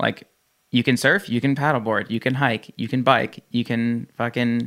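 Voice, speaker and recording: This man has an unremarkable speaking voice with an American accent, medium pitch, fairly even intonation and a moderate pace. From New Jersey. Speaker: gym owner and fitness entrepreneur. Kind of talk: casual chat.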